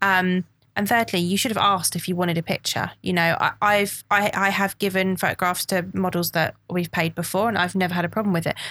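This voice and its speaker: On a very clean recording with a silent background, a woman of medium pitch speaks at a fairly quick pace in a monotone, flat intonation, her bright, sharp tone holding very even loudness. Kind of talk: casual interview chat.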